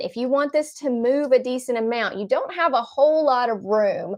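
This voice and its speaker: A woman's high-pitched voice with a slight Southern accent, ordinary pitch variation, and a quiet background. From US South, Nashville, Tennessee. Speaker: card-making crafter. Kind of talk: craft tutorial in a live chat.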